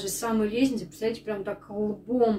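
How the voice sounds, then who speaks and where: A somewhat breathy, fairly high-pitched woman's voice at a fairly quick pace, with fairly even intonation and light background noise. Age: 30s. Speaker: stay-at-home mom vlogger. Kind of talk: casual vlog talk to camera. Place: kitchen.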